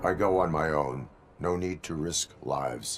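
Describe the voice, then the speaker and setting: A man puts on a character voice that is raspy and very deep in pitch. He keeps a moderate pace. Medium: video game. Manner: flat, terse, formal.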